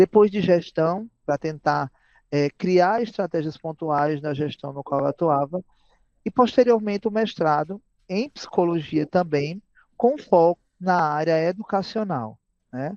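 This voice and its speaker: A man speaks at a fairly slow pace in a high voice with ordinary pitch variation, the sound dry and close with no echo. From Brazil, Paraíba (Campina Grande). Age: 30s. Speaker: educator and psychologist. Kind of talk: podcast interview. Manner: frequent fillers and hesitations.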